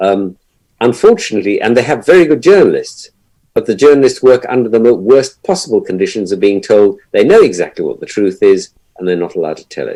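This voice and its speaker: Talking at a very fast pace, a man's voice swings widely in loudness. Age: 60s. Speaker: journalist. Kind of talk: panel discussion. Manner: halting.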